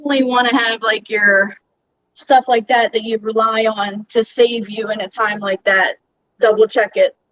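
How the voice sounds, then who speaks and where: A woman with a Baltimore accent and a fairly high voice speaks at a moderate pace in a monotone, flat way, with big swings in loudness. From Maryland, Baltimore. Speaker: aquarium hobby youtuber, guest. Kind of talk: casual livestream chat.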